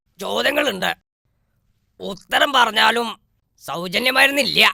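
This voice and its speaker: A man in a put-on character voice talks very slowly at an extremely high pitch, raspy, raised and projected, with lively intonation and a dry, close sound with no echo. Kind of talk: comic overacting. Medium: comedy sketch. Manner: pompous, know-it-all.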